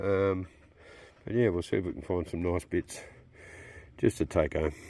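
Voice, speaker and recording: A man talks at a fairly slow pace in an Australian accent. His pitch is very deep and low. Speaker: amateur prospector and fossil hunter. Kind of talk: casual outdoor vlog narration. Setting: outdoors in the bush.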